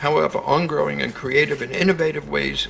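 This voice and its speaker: A man talks at a moderate pace. Background noise is noticeable behind him. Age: 70s. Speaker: conference speaker, organization president. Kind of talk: prepared conference speech. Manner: formal.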